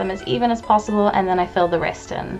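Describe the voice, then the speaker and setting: A woman speaking at a very fast pace over music in the background. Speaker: cosplayer. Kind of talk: makeup tutorial voice-over.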